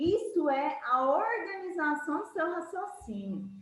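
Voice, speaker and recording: A woman speaks in a high voice with very wide pitch swings. Noticeable background noise and audible room echo fill the recording. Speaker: math teacher. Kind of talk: lecture.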